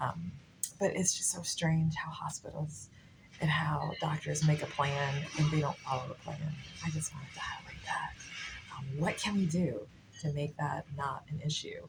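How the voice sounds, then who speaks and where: Music plays in the background as the speaker moves at a moderate pace with long, frequent pauses. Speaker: vlogger, patient's adult child. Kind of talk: casual vlog. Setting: hospital waiting room.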